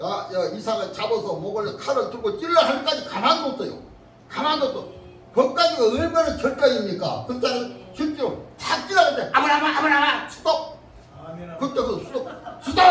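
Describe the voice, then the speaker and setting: The speaker's intonation is lively, with music playing in the background. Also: man, extremely high pitch for a man, moderate pace. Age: 80s+. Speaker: pastor. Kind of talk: church sermon.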